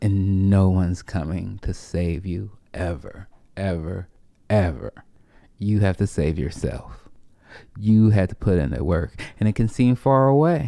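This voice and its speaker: With a very deep, low pitch and a dark, mellow tone, the man talks at a fairly slow pace with lively intonation and long, frequent pauses, his voice dry with no echo against a quiet background. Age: 30s. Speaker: comedian and podcast host. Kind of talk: casual chat. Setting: at home. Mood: earnest, motivational. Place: home room. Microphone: studio mic.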